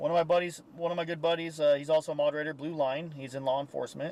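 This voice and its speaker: Very fast speech over noticeable background noise. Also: man. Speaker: live-stream true crime commentator. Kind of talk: live stream commentary. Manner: halting.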